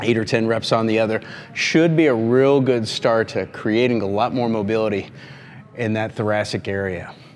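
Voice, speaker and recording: A man with an American accent at medium pitch and a moderate pace, with ordinary pitch variation. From Michigan. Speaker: golf performance coach. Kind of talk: exercise tutorial. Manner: calm, instructional. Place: gym.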